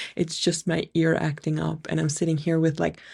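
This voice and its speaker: In a very clean recording with a silent background, a woman speaks with a very deep, low pitch, a somewhat breathy quality and monotone, flat intonation. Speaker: podcast host and spiritual business coach. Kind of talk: solo podcast monologue. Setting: home recording under a blanket.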